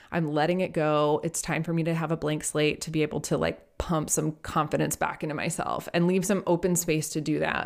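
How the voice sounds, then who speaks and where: A woman with a very deep, low pitch, vocal fry and monotone, flat intonation, at a fairly quick pace with hardly any pauses, on a very clean recording with a silent background. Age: 30s. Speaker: podcast co-host on magic history. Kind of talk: casual chat.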